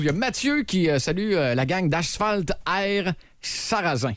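Lively intonation from a man with a Quebec accent and a high pitch. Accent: Québécois French. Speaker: morning radio host. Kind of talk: casual chat.

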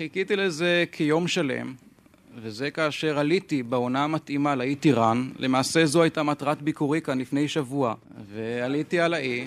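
A man with an unremarkable speaking voice talks at a fairly slow pace. His pitch is fairly high, with ordinary variation. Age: young. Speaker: birdwatcher and wildlife photographer. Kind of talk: explanation to audience. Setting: stage with audience. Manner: formal.

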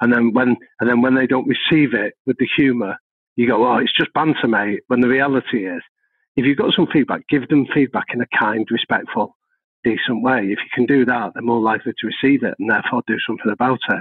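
In a Mancunian accent, a man speaks at a medium pitch. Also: fairly even intonation, fairly quick pace. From North Manchester, England. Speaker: professor of organizational psychology and consultant. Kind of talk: podcast interview.

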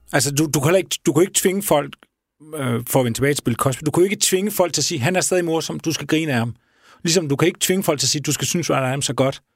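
Talking at a very fast pace, a man with a fairly high pitch shows ordinary pitch variation in a very clean recording with a silent background. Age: 40s. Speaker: radio podcast host. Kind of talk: interview.

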